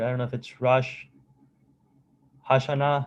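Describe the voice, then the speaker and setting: His pitch sits fairly high for a man. He talks with a non-native accent. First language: not English. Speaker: student government meeting chair. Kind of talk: meeting.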